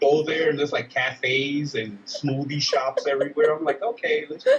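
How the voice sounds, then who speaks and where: Amid noticeable background noise, a man with a New York accent and a fairly high pitch talks with hardly any pauses, ordinary pitch variation, and big swings in loudness. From Dominican Republic and Brooklyn, New York. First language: Spanish. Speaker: army veteran. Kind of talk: interview. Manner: casual, halting with fillers.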